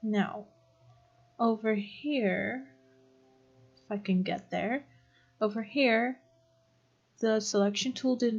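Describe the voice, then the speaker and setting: Over music in the background, a woman speaks at a very slow pace with long, frequent pauses. Her pitch is fairly high, with ordinary variation. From Netherlands. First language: Dutch. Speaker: video tutorial creator. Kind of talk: tutorial. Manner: casual, with fillers and searching for words.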